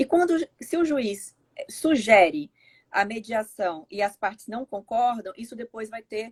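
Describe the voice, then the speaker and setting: A woman's somewhat breathy voice, fairly slow, with very wide pitch swings and a dry, close sound with no echo. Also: fairly high pitch for a woman, big swings in loudness. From Brazil. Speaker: law professor. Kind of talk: live webinar interview. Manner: halting.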